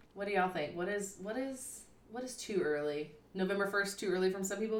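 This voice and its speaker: Speaking at a very fast pace, a woman with a slight Southern US accent uses a medium pitch and ordinary pitch variation. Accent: mild Southern US. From US South. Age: 30s. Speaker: podcast co-host. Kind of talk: casual chat.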